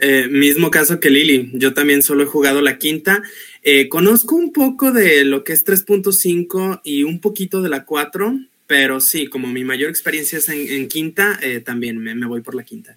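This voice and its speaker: Bright and sharp in tone, a man speaks in a fairly high pitch at a fairly slow pace. His pitch variation is ordinary. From Mexico, Guadalajara, Jalisco. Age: 30s. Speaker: chemical engineer and English teacher, tabletop RPG player. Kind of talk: panel discussion.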